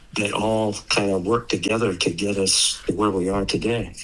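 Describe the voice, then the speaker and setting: There is noticeable background noise and audible room echo. A man with a fairly low pitch speaks at a moderate pace. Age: 80s+. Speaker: solar cell inventor and company co-founder. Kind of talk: interview.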